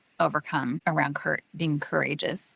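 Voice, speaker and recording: Recorded with a dry, close sound and no echo, a woman talks at a moderate pace. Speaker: podcast host and executive coach. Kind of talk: casual chat.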